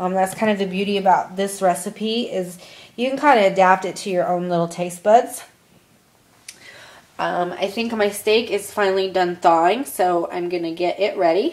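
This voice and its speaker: Over noticeable background noise, a woman with an American accent speaks at a medium pitch with fairly even intonation. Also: moderate pace. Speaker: college student. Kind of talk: class presentation, cooking tutorial.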